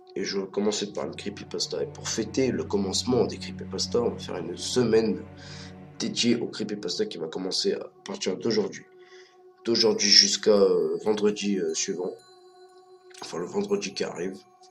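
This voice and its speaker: Music plays in the background as the voice moves at a moderate pace with long, frequent pauses. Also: man. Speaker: amateur YouTuber. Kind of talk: casual talk to camera. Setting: poor-quality microphone recording.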